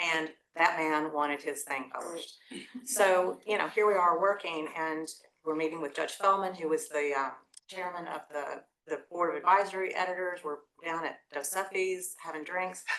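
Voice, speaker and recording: In an East Tennessee accent, the speaker talks at a moderate pace with fairly even intonation. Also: woman, fairly low pitch for a woman. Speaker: lawyer, former law review editor, panelist. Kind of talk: panel talk, personal recollection.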